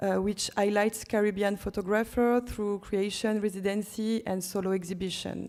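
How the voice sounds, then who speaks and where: The speaker has a French accent and a monotone, flat intonation. The pace is moderate, the loudness very even, with hardly any pauses. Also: woman, medium pitch for a woman. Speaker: curator. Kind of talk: conference presentation. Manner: halting.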